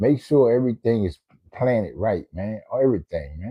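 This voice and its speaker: Here is a man speaking. His pace is moderate. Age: 60s. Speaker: livestreamer. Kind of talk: casual livestream chat. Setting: home den, live stream. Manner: halting, repetitive.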